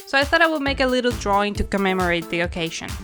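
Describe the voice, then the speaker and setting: A woman talks at a very fast pace, her voice at a medium pitch. Her intonation is lively, with music playing in the background. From Argentina. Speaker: cartoonist and animator. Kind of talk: casual tutorial narration.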